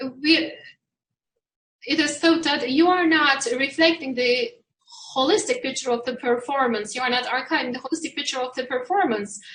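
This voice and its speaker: A woman speaks with a Turkish accent. Her pitch is high, with ordinary pitch variation. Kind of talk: panel discussion. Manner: slow; halting.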